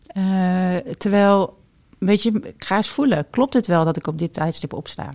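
A woman with an unremarkable speaking voice talks fairly slowly at a medium pitch, her intonation lively. The recording is very clean with a silent background and a dry, close sound with no echo. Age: 40s. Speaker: intuitive coach and reader. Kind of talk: casual interview.

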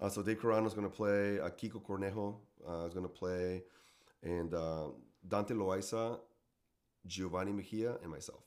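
A man's fairly low voice with a Mexican accent, fairly even intonation, a moderate pace, and long, frequent pauses. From Mexico, Tijuana. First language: Spanish. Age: 40s. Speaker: gigging musician. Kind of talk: casual chat. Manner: halting.

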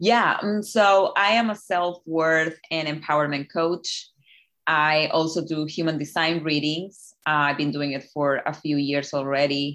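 A woman with a Spanish accent speaks at a fairly slow pace in a very deep, low voice. Her pitch varies in an ordinary way, against a quiet background. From Chile. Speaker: life coach. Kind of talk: interview.

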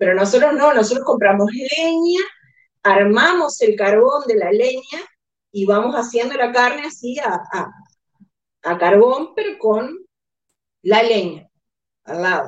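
Her high-pitched voice swings very widely in pitch as the woman speaks at a fairly slow pace, leaving long, frequent pauses. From Uruguay. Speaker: insurance agent. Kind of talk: casual interview.

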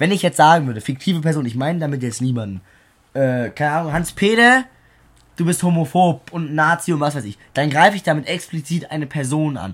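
In a very clean recording with a silent background, the words come at a fairly quick pace. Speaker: podcast co-host. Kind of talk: casual chat. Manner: relaxed.

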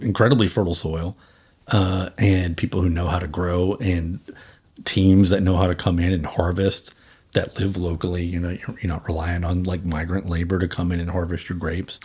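With an American accent, a man speaks at a moderate pace in a very deep, low, somewhat breathy voice with monotone, flat intonation. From Boston. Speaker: wine company co-founder. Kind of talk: casual interview. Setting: at his home, remote recording.

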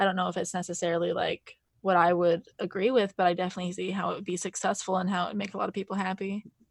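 With an American accent, a woman speaks at a very fast pace with hardly any pauses. Her pitch is medium and her intonation monotone and flat. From Montana, US. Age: 20s. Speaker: stand-up comedian. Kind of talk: casual chat.

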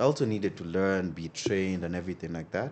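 A man races through his words at a very fast pace, the background around him quiet. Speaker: bar owner and entrepreneur. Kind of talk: casual interview.

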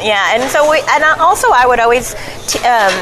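Speaking with a Southern US accent, a woman keeps up a fairly quick pace with ordinary pitch variation. Background noise is noticeable. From Arkansas (Elkins, near Fayetteville). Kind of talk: casual interview. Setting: restaurant.

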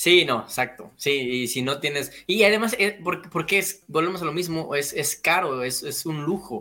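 This man's fairly high voice has a bright, sharp tone and lively intonation at a moderate pace. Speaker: builder. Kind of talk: casual chat.

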